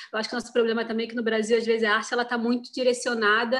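A woman's voice in a monotone, flat intonation. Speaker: actress. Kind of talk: interview.

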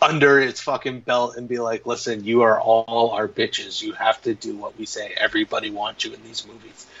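There are hardly any pauses as a man talks at a fairly quick pace, with big swings in loudness. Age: 40s. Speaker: podcast host. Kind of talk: casual chat.

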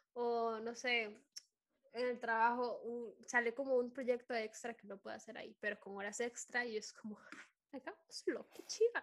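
A woman talks in a high-pitched voice. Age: 20s. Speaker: podcast host. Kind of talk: casual chat. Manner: animated.

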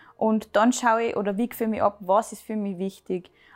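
Speaking at a moderate pace, the woman has a fairly high pitch. Her intonation is monotone and flat. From Austria, Salzburg. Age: 20s. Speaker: make-up artist and hairdresser. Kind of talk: casual interview.

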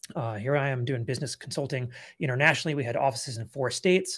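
Recorded very cleanly against a silent background, a man with an American accent speaks very fast in a fairly high, somewhat breathy voice with ordinary pitch variation. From California. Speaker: business consultant, former attorney. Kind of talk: interview.

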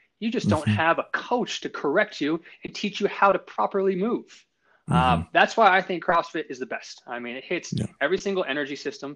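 Against a quiet background, a man with a high, bright, sharp voice talks at a fairly quick pace, with very wide pitch swings and big swings in loudness. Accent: General American. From Colorado, Longmont area. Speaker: physical therapist. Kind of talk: casual chat.

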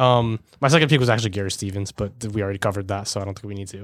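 In a dry, close sound with no echo, a man speaks. His pitch varies in an ordinary way. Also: very clean recording, silent background. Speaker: sports podcast co-host. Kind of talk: casual banter. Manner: fast talker.

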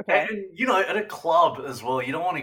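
A man speaks with an Australian accent and a bright, sharp tone. His pitch swings very widely. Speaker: podcast co-host. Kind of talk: casual chat.

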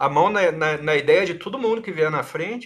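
The speaker is a man. His intonation is lively. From southern Brazil (Paraná). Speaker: game creator and podcast guest. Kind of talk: casual chat.

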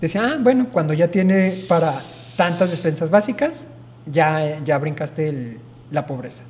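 A man with a fairly high pitch speaks at a fairly slow pace using lively intonation. Noticeable background noise can be heard. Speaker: podcast co-host. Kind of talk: casual chat.

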